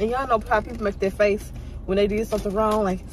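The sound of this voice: A woman speaks at a fast pace and a medium pitch. Her intonation stays fairly even.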